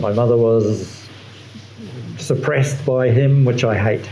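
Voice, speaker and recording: With audible room echo and noticeable background noise, the voice has an Australian accent and fairly even intonation. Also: man. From Western Australia. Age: 70s. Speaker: artist, retired electrical engineer. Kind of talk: interview. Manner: halting.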